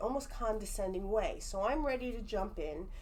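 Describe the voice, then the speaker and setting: A woman speaks with lively intonation. Some room echo is audible. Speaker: psychic medium. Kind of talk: casual chat. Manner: animated.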